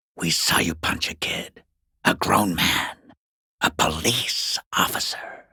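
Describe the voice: A man's slow put-on character voice, low in pitch with vocal fry, a husky, rough edge and a bright, sharp tone, in a dry, close sound with no echo. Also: ordinary pitch variation.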